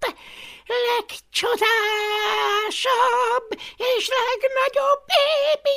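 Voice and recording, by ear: The speaker is reading aloud in a natural voice.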